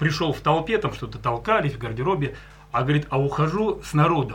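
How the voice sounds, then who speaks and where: A man speaks in an ordinary speaking voice, pitched fairly high. His pace is moderate. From Leningrad region, Russia. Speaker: folk singer. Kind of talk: casual chat. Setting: studio.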